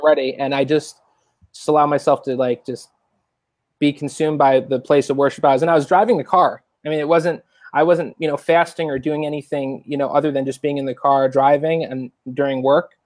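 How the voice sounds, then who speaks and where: Using an ordinary speaking voice with an American accent, a man talks at a fairly quick pace in a fairly high pitch, keeping his intonation fairly even. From Long Island, New York, then Florida from 13. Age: 20s. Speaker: churchgoer sharing testimony. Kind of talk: testimony.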